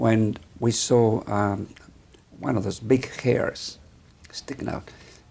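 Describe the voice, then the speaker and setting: Against noticeable background noise, a man with a Mexican accent and a fairly low pitch speaks at a fairly slow pace with ordinary pitch variation. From northern Mexico, Sonora. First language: Spanish. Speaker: vascular surgeon. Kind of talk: interview. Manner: halting.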